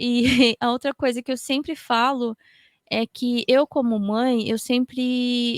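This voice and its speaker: A woman speaks at a high pitch and a very slow pace with monotone, flat intonation. The sound is dry and close, with no echo. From Japan. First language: Japanese (speaking Portuguese). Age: 30s. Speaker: podcaster. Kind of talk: panel discussion.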